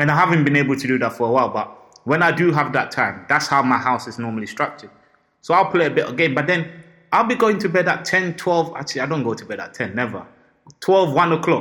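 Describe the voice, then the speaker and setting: A man talks very fast in a fairly high pitch, his tone bright, sharp and animated, his intonation lively. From Ghana. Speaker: podcast co-host. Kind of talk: casual chat.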